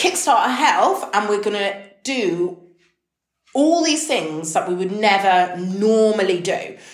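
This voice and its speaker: A woman with a British accent speaks at medium pitch, her voice swinging very widely in pitch. The room's echo is audible. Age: 30s. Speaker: health and habits podcaster. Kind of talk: casual solo monologue. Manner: animated.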